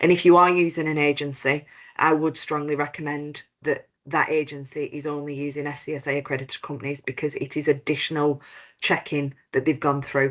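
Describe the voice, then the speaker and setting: Against a quiet background, a woman with a British accent talks at a fairly quick pace in a very deep, low pitch with monotone, flat intonation. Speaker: compliance expert, head of operations at accreditation body. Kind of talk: webinar presentation.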